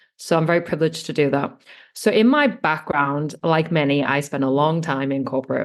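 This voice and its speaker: At a fairly quick pace, a woman speaks with a very deep, low pitch and ordinary pitch variation. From England. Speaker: online business manager. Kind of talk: podcast interview.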